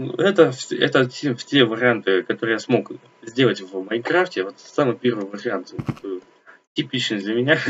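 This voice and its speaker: A man speaks at a fairly slow pace and medium pitch, with long, frequent pauses. His intonation is lively. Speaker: gaming youtuber. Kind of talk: game walkthrough narration. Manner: halting.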